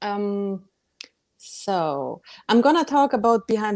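The recording is very clean, with a silent background. A woman with a German accent speaks with lively intonation. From Germany, Bavaria. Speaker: author. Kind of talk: casual chat.

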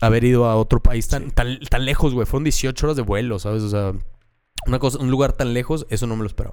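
A very fast pace with fairly even intonation. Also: man, medium pitch for a man. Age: 30s. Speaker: comedian. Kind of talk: casual chat.

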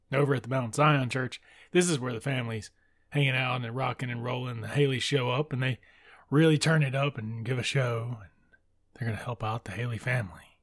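A man speaks in a Mississippi accent at a medium pitch and a fairly quick pace. His voice is somewhat breathy, with fairly even intonation. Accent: Southern US (Mississippi). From US South, deep south Mississippi. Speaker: book podcast host. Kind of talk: casual book discussion monologue. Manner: casual, laughs often.

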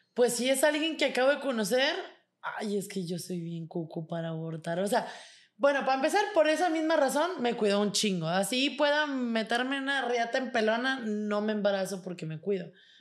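This woman's fairly high voice swings very widely in pitch as she speaks at a moderate pace. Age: 20s. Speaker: model and online content creator. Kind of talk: casual chat.

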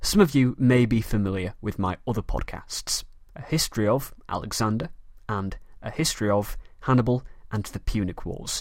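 A man speaks in a Manchester accent at a moderate pace. His pitch is medium, with ordinary variation. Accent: Mancunian northern English. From Manchester, northern England. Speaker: history podcast host. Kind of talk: scripted educational podcast narration.

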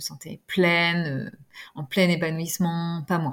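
The woman's voice sits fairly low, captured in a very clean recording against a silent background. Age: 40s. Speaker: pediatric nurse and parent. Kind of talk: podcast interview. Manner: hesitant, many fillers.

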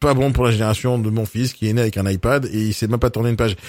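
A plain, everyday voice from a man at medium pitch and a fairly quick pace, in a very clean recording with a silent background. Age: 40s. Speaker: podcast host. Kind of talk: interview.

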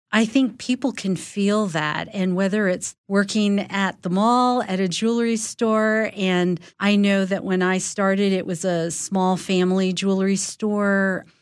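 Against a quiet background, a woman at medium pitch talks at a fairly slow pace with very even loudness, fairly even intonation and hardly any pauses. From Los Angeles, US. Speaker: former intelligence executive. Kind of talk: interview.

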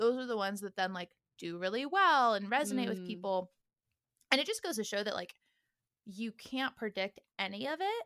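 A woman speaks with an American accent at a fairly quick pace, her fairly high voice bright and sharp with lively intonation. Long, frequent pauses break up her speech, and the sound is dry and close with no echo. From Northern California. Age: 20s. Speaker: musician. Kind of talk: casual interview.

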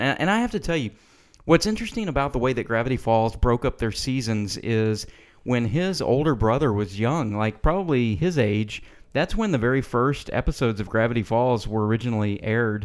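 On a very clean recording with a silent background, a man speaks at a medium pitch and a fairly quick pace with ordinary pitch variation. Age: 40s. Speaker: podcast co-host. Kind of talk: casual chat. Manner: halting.

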